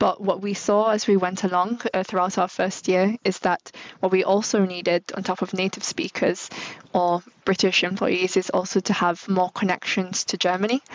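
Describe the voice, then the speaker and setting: Speaking at a moderate pace, a woman uses a medium pitch. Her intonation is monotone and flat. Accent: Manchester. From northern England. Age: 30s. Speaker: brand manager. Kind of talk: interview.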